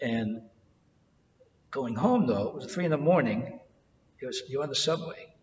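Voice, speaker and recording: A fairly high male voice with very wide pitch swings, a moderate pace and long, frequent pauses, in audible room echo. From New York City, Greek-American household. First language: Greek. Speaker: oral history interviewee. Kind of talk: oral history interview. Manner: halting, with many repetitions.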